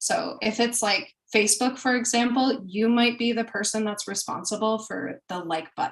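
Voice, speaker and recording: A woman's somewhat breathy, fairly high voice at a moderate pace with ordinary pitch variation. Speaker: product manager. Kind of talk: webinar talk.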